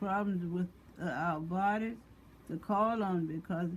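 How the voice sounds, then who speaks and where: Here a woman talks in a medium pitch with ordinary pitch variation. Her voice is somewhat breathy. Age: 80s+. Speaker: mother of five. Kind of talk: religious testimony talk.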